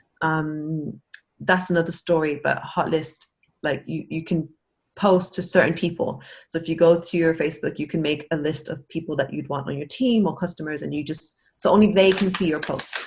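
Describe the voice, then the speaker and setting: This woman's voice is somewhat breathy and fairly low in pitch, with fairly even intonation. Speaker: network marketing team member. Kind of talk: casual chat. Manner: fast.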